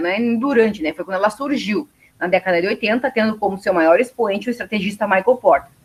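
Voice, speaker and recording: Her pitch sits fairly high and varies in an ordinary way. This woman talks very fast. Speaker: university lecturer. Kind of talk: lecture.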